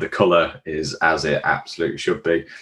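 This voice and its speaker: A man with a Yorkshire accent speaks at a moderate pace. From Yorkshire, York area. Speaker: beer podcast host. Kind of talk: casual chat.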